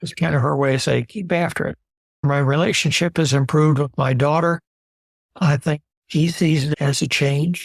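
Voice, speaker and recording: A man's somewhat breathy, fairly high voice at a moderate pace, with fairly even intonation, in a dry, close sound with no echo and a very clean recording over a silent background. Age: 70s. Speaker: retiree. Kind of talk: interview answer.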